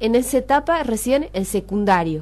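This is a woman's voice. She speaks at a fairly slow pace. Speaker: radio host. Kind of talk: radio interview. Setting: radio studio. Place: studio.

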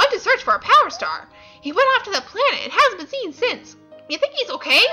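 With faint music in the background, a woman uses a put-on character voice, raised and projected, at an extremely high pitch and a fairly quick pace.

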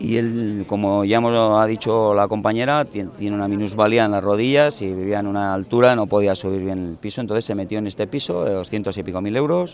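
A man talks at a fairly quick pace with hardly any pauses, his pitch fairly low and its variation ordinary. The sound is dry with no echo, over light background noise. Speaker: housing activist spokesman. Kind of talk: interview answer. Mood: determined, indignant. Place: street. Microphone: handheld.

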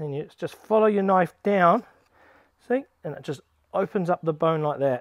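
Using lively intonation, a man speaks in a high pitch at a moderate pace. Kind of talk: tutorial. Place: garden. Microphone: phone near.

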